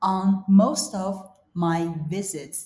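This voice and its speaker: A woman with a Chinese accent speaks at a very slow pace. Her voice is somewhat breathy. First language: Mandarin Chinese. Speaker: podcast host and English teacher. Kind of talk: reading aloud; casual chat.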